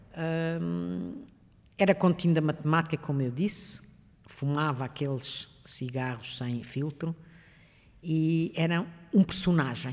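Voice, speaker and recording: On a very clean recording with a silent background, a woman with a very deep, low pitch speaks at a very slow pace, with long, frequent pauses and ordinary pitch variation. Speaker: retired engineering professor. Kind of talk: interview, personal recollection.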